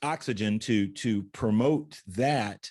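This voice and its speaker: A man's normal speaking voice, medium in pitch, with lively intonation and a quiet background. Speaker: talk show host. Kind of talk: interview host talk.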